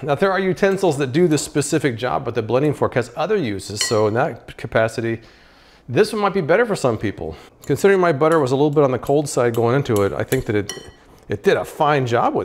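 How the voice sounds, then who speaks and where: Over light background noise, a man talks at a very fast pace with very wide pitch swings. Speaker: gadget reviewer. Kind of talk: casual review commentary. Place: kitchen. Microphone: lapel.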